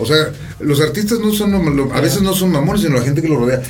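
A man's fairly high, fairly quick speech in a central Mexican accent, with very wide pitch swings, audible room echo and noticeable background noise. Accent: Mexican Spanish (central Mexico). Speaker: rapper. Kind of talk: casual chat.

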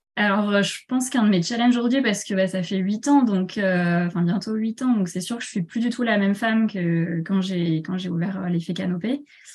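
Noticeable background noise behind a woman's medium pitch, moderate pace and ordinary pitch variation. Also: hardly any pauses. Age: 30s. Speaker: shop owner and entrepreneur. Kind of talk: interview. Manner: hesitant, many fillers.

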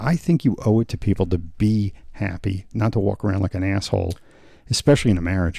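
A man speaks in a fairly low, somewhat breathy voice with a dark, mellow tone and ordinary pitch variation. The recording is very clean, with a silent background. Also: fairly quick pace. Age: 50s. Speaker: jiu-jitsu student and podcast co-host. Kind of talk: casual chat. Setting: in the academy after class.

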